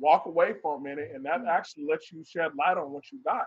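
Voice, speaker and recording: Recorded dry and close with no echo, a man speaks at a moderate pace in a fairly high pitch. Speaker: husband in polygamous family. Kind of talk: casual interview chat. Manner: dominant, confident.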